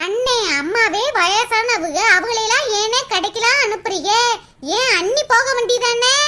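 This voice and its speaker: A woman puts on a cartoonish character voice at an extremely high pitch, speaking at a fairly slow pace. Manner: sweet-talking.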